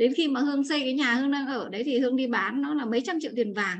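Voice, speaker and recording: This woman's voice sits high. She rattles along at a very fast speed. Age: 40s. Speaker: course participant. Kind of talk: testimony. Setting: video call.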